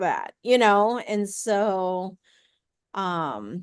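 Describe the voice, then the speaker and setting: A woman speaks at a medium pitch with ordinary pitch variation and an American accent against a quiet background. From US Midwest, St. Louis. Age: 50s. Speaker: sonographer and podcast host. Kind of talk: casual chat.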